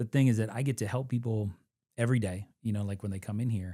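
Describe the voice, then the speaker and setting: Speaking at a fairly quick pace, a man with a slight Kentucky accent has a medium pitch and a dark, mellow tone. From Western Kentucky, US. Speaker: military veteran, nonprofit camp director. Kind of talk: casual interview. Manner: halting, many fillers.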